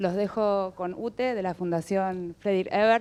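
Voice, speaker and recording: A woman speaks in a monotone with flat intonation. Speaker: human rights activist. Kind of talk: welcome speech. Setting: event venue with audience.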